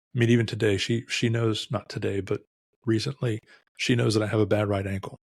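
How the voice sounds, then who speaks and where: In a very clean recording with a silent background and a dry, close sound with no echo, a man with an American accent talks at a fairly quick pace in a fairly low, somewhat breathy voice with fairly even intonation. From US. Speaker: retired police deputy, air force veteran, author. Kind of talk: interview podcast conversation.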